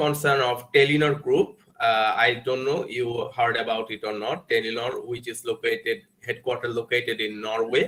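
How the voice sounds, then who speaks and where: A man with a Bengali accent, a fairly high pitch, a moderate pace and ordinary pitch variation. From Bangladesh. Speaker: guest lecturer. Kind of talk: lecture. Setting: video call. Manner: halting.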